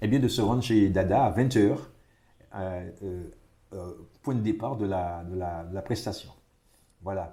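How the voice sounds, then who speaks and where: Somewhat breathy and dark, mellow in tone, a man's fairly low voice moves at a fairly slow pace with long, frequent pauses and audible room echo. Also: ordinary pitch variation. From Martinique. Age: 60s. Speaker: retired tourism official. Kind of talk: interview. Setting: at home. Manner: halting, many repetitions.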